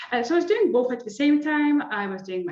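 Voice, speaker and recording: The woman has a non-native accent and lively intonation. Room echo is audible. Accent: non-native, noticeable. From Lithuania. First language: Lithuanian. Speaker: sport psychology lecturer. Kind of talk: interview.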